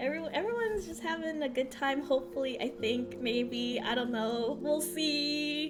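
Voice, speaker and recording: Over music in the background and with audible room echo, a woman speaks at a moderate pace with a high pitch, lively intonation, an animated tone and hardly any pauses. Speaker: streamer. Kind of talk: live stream presentation to chat. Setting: live stream. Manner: loud, shouting into the mic; animated, gushing.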